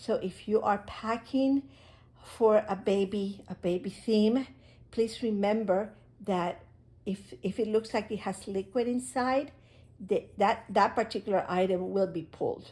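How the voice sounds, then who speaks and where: At a fairly slow pace, a woman speaks with a dark, mellow tone that is somewhat breathy, at a fairly high pitch with ordinary pitch variation. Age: 70s. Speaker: crafts hobby video maker. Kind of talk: unboxing tutorial. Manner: halting.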